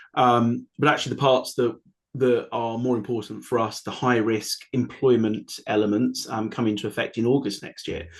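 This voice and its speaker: In a quiet background, a man of medium pitch talks at a moderate pace with monotone, flat intonation. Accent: British. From United Kingdom. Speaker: AI compliance consultant. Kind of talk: webinar panel discussion. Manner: hesitant, many fillers.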